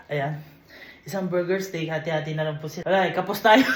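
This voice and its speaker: A man talks in a high voice. Noticeable background noise and audible room echo surround him. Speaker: vlogger. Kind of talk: casual vlog talk. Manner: animated.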